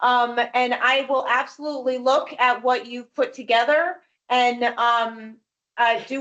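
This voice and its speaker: A loud voice at a fairly slow pace. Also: woman. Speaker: executive director of a human rights commission. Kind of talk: public meeting discussion.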